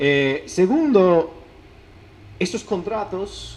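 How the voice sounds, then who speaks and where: A man speaks with an English accent. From United States. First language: English (speaking Spanish). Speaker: academic researcher. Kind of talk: lecture. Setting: conference talk. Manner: halting, with false starts.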